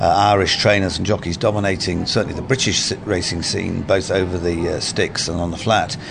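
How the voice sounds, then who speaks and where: A man talks with very deep, low pitch and hardly any pauses. Noticeable noise sits in the background. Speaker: food critic and head judge. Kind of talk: radio interview.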